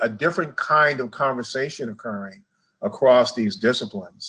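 This man has an American accent and a medium pitch. His tone is bright and sharp. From Chicago, US Midwest. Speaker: public health association executive. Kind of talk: interview. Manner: halting, with many fillers.

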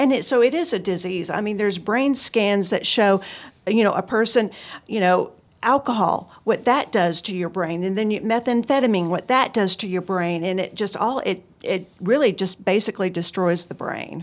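With a normal speaking voice, a woman talks at a medium pitch and a moderate pace on a very clean recording with a silent background. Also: ordinary pitch variation. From Texas, Houston area. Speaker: addiction recovery counselor. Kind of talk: interview, personal testimony.

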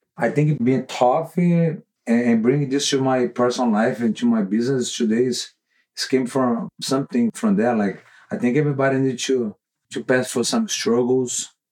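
Speaking with a Brazilian accent, a man uses a medium pitch with ordinary variation at a moderate pace. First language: Portuguese. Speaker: jiu-jitsu professor and gym owner. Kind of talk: casual interview.

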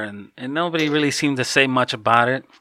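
Here a man speaks with an American accent. His pitch is medium. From US Midwest, Chicago. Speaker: satanist guest. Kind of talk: casual interview chat. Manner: halting.

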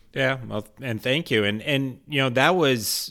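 A normal speaking voice with an American accent moves at a moderate pace with ordinary pitch variation. The recording is very clean, the background silent. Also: man. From US West Coast, San Diego. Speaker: financial advisor, podcast host. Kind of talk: casual chat.

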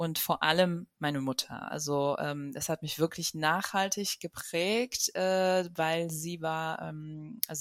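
A woman speaks in a normal speaking voice, fairly low in pitch, with ordinary pitch variation. The sound is dry and close with no echo, on a very clean recording with a silent background. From Germany. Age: 30s. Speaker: journalist and author. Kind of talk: interview.

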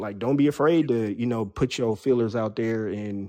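Dark, mellow tone from a man with an American accent, at a moderate pace against a quiet background. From San Diego, California (some childhood in the Bronx, New York). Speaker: rapper and producer. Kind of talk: casual interview.

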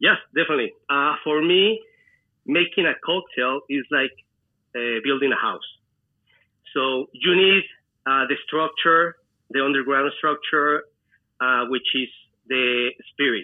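A man speaks at a fairly slow pace with a fairly high pitch. His pitch varies in an ordinary way, and he leaves long, frequent pauses. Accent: Spanish. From Mexico, Celaya, Guanajuato. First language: Spanish. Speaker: mixologist and restaurant owner. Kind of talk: interview. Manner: halting.

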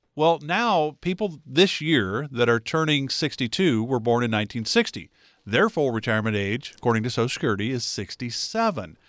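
A man talks at a moderate pace with hardly any pauses, an ordinary speaking voice and medium pitch. His intonation is lively, and the recording is very clean with a silent background. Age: 60s. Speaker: radio host. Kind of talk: radio talk show.

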